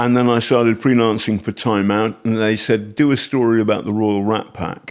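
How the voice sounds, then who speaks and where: Talking in an English accent, a man keeps a medium pitch, a moderate pace and a monotone, flat intonation. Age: 60s. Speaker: investigative journalist and author. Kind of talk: casual chat. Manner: halting.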